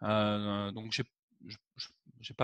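The background is quiet as a man speaks. The sound is dry, with no echo. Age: 40s. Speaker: web marketing entrepreneur; interviewee. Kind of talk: interview. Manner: hesitant, with fillers. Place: home room. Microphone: headset.

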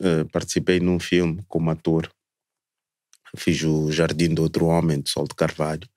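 Against a quiet background with a dry sound and no echo, a man with a Mozambican accent and a very deep, low pitch speaks at a moderate pace. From southern Mozambique (Maputo). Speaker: cultural tourism entrepreneur; podcast guest. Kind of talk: casual chat. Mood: warm, relaxed. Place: studio. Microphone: studio mic.

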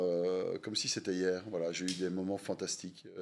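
A man speaks with a fairly low-pitched voice. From Belgium, Wallonia near Limburg border. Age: 40s. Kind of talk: interview. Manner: halting.

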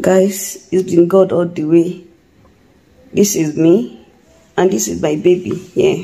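The pace is very slow, with ordinary pitch variation. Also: woman, fairly low pitch for a woman. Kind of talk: casual vlog chat. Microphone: phone near.

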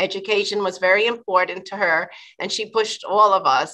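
A woman with an American accent, medium pitch and a bright, sharp tone, at a moderate pace against a quiet background. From New York City, the Bronx. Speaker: attorney, state agency commissioner nominee. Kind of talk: confirmation hearing testimony. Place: office. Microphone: video call.

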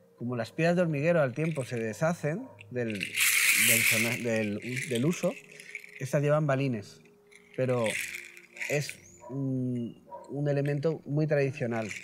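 A man speaks at a very slow pace with long, frequent pauses, his pitch fairly high and its variation ordinary. Noticeable background noise is present. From Spain, Elche (Valencia region). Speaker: shaman and healer. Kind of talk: interview. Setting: at his home. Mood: calm, earnest. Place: garden.

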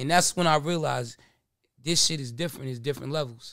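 An American man speaks at a fairly quick pace with lively intonation. The recording is dry with no echo, and the background is quiet. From New Jersey. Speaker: podcast guest. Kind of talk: casual chat. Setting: studio. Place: studio. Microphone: studio mic.

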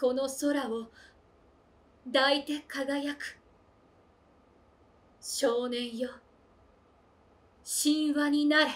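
Pitched high, a woman speaks at a very slow pace in a monotone, flat intonation with long, frequent pauses. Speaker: voice actor. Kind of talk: poetry reading. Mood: earnest, slightly playful. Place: home room.

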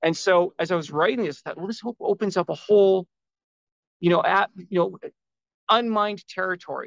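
Delivered at a fairly quick pace with long, frequent pauses, the voice shows big swings in loudness and fairly even intonation, with a quiet background and a dry sound with no echo. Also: man, high pitch for a man. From Vancouver, Canada; British Columbia, Canada. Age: 50s. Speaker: self-published author; guest. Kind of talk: interview. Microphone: video call.

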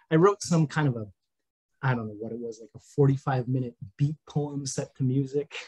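In an American accent, a man at medium pitch talks at a moderate pace, somewhat breathy, with ordinary pitch variation and big swings in loudness. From US Midwest, rural Minnesota. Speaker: game writer; podcast guest. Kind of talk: casual chat. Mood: relaxed, warm, smiling. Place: home room. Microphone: webcam.

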